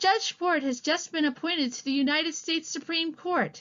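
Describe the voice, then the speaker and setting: This woman uses a put-on character voice pitched extremely high. She talks at a moderate pace. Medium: read story. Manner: dry, direct.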